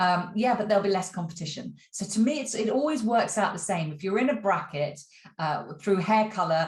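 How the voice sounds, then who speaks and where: A woman, somewhat breathy, with lively intonation at a fairly quick pace. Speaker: acting career coach. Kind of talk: vlog. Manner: casual with many fillers.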